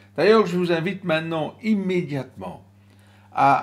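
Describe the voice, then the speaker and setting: This is a man speaking. His intonation is lively. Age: 60s. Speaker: stress and crisis management trainer. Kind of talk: motivational talk with guided breathing exercise.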